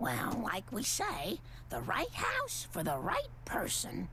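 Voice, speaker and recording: A cartoonish character voice moves at a fairly slow pace with very even loudness amid clear background noise. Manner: earnest, mild.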